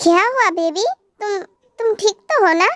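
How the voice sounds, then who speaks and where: A woman uses a squeaky, put-on character voice at an extremely high pitch, speaking at a moderate pace with ordinary pitch variation. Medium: read story. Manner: firm, controlling.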